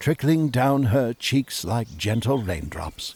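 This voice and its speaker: A man speaks at a fairly slow pace, somewhat breathy, with lively intonation. The recording is very clean with a silent background. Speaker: audiobook narrator. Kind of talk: children's audiobook narration.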